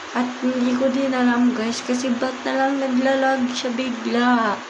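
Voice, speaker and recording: A woman speaks in a high voice. Audible room echo and noticeable background noise fill the recording. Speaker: gaming youtuber. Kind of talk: gameplay commentary. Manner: casual, chatty.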